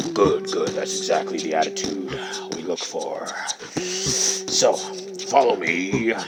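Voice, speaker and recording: Man in a put-on character voice at a fairly slow pace, loud music in the background. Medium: read story.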